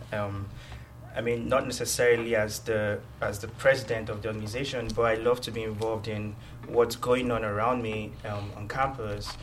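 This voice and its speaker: A man speaks with a Nigerian accent in a monotone, flat intonation. Noticeable background noise runs behind him. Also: medium pitch for a man, moderate pace. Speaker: university student and researcher. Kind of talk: casual interview.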